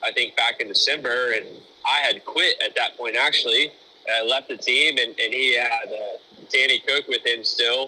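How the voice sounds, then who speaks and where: A man talks at a moderate speed. Behind him, noticeable background noise can be heard. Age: 20s. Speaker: sprint car crew chief. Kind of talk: casual interview.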